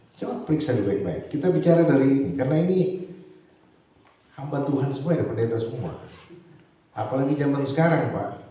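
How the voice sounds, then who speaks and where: With audible room echo and noticeable background noise, a man speaks at a fairly quick pace in an animated tone with lively intonation. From Manado, North Sulawesi, Indonesia. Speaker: preacher. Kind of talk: sermon. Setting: church synod gathering with audience. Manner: animated, interacts with audience.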